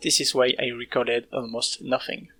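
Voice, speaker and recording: A man with a non-native accent speaks at a moderate pace. Music plays in the background. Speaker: indie game developer. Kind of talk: devlog narration.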